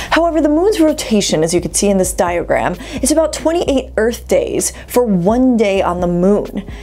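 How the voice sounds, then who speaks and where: A woman is speaking. Her pitch swings very widely. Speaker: science video host. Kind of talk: explainer narration. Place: home room.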